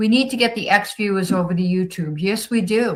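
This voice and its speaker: A woman speaks with a Boston accent, her pitch medium and her voice somewhat breathy. Her pitch rises and falls in an ordinary way. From Boston area, Massachusetts. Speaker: livestream host. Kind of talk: casual livestream chat reading comments. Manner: animated.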